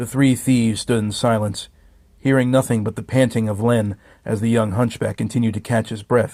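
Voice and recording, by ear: Fairly even intonation in someone reading aloud in a natural voice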